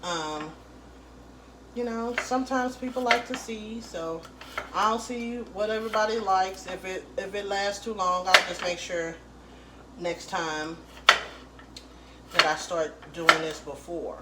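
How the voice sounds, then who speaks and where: Quiet and with big swings in loudness, a woman speaks at a medium pitch with ordinary pitch variation and long, frequent pauses, amid noticeable background noise and audible room echo. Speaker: home cook. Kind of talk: cooking tutorial. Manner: casual.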